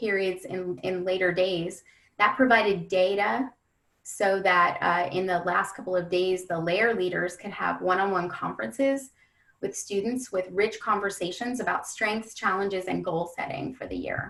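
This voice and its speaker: Speaking in an unremarkable speaking voice, a woman talks at medium pitch and a moderate pace with ordinary pitch variation. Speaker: education webinar presenter. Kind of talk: webinar presentation. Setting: webinar.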